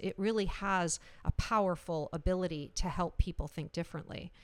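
At a moderate pace, a woman with a Canadian accent and an unremarkable speaking voice talks at a medium pitch with fairly even intonation. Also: very clean recording, silent background. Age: 50s. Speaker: senior living innovation executive. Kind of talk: interview conversation.

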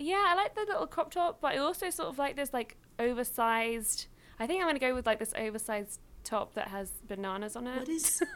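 In a British accent, a woman talks at a very fast pace. Her high-pitched voice swings very widely in pitch. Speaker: YouTuber and writer. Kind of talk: casual chat.

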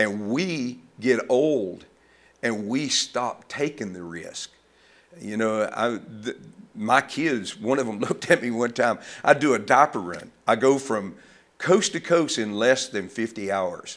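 Very slow speech in a Southern US accent, with lively intonation, big swings in loudness, and a very clean recording with a silent background. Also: man, medium pitch for a man. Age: 70s. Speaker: ministry founder. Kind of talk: casual interview conversation.

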